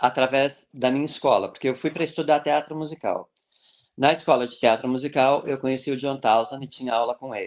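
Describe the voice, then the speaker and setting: Big swings in loudness from a man with a fairly high pitch, a moderate pace and ordinary pitch variation. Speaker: clown and social entrepreneur. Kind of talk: interview. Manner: animated.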